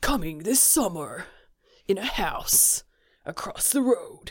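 Putting on a raspy character voice, a woman speaks in a high pitch at a fairly slow pace with a dramatic tone. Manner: dramatic, portentous.

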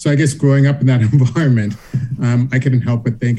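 A man speaks with an American accent and a dark, mellow tone. His intonation stays fairly even. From US South, Charleston, South Carolina. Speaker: law professor. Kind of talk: interview.

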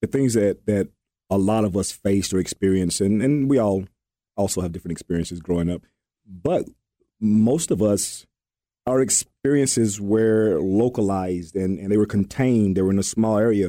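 The speaker uses ordinary pitch variation at a moderate pace in a very clean recording with a silent background. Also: man, fairly low pitch for a man. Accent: Southern US. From Alabama. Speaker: co-host. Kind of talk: casual chat. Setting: studio. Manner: halting.

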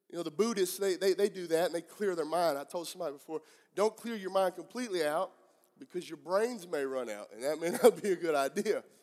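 In a Southern US accent, a man talks at a very fast pace with a high pitch and ordinary pitch variation. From US Southeast. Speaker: pastor. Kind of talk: sermon. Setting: church service with live congregation.

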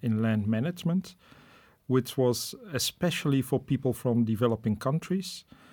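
A man with a Dutch accent speaks at a medium pitch in a dark, mellow tone. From Netherlands. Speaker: professor. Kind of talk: interview. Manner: hesitant, many fillers.

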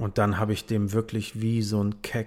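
This man has a fairly low voice. He speaks in a fairly low register. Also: very clean recording, silent background. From northern Germany, Bremen. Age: 30s. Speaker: music label manager. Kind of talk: casual chat.

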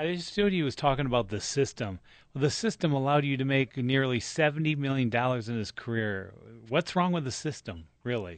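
A man with a plain, everyday voice talks at a moderate pace and medium pitch with lively intonation over a quiet background. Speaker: sports radio contributor. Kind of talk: casual sports radio chat. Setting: studio.

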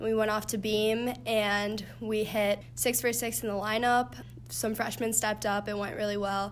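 A woman speaks in a normal speaking voice at a moderate pace. Her pitch is fairly high, with ordinary pitch variation. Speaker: college gymnast. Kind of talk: interview.

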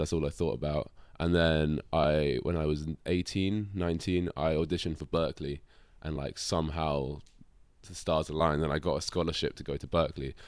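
A man with a London accent and a very deep, low voice, on a very clean recording with a silent background. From London, England. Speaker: drummer. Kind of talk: casual chat.

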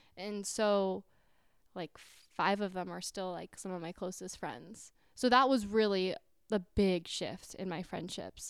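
A woman with an ordinary speaking voice talks at medium pitch and a fairly slow pace, with fairly even intonation but big swings in loudness. The recording is very clean, with a silent background. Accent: American. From California suburbs. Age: 20s. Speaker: podcast co-host. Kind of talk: casual chat.

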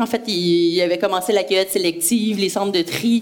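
A woman at medium pitch and a moderate pace, with ordinary pitch variation and noticeable background noise. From Quebec, Brossard. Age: 40s. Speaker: entrepreneur. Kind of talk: interview.

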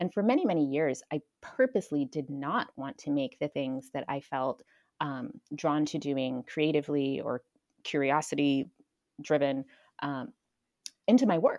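Speaking with an American accent, a woman with a very deep, low pitch talks at a moderate pace with ordinary pitch variation and long, frequent pauses, the recording very clean, dry and close with no echo and a silent background. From Florida. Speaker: UX designer and community organizer. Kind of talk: interview conversation.

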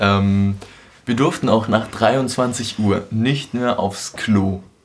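The intonation stays fairly even while noticeable noise runs in the background. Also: man. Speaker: podcast host. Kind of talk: casual chat.

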